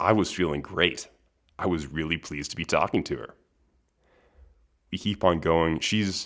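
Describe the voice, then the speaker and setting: A man's very deep, low voice at a moderate pace with fairly even intonation and long, frequent pauses, recorded very cleanly against a silent background. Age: 20s. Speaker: podcast host. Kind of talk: casual monologue.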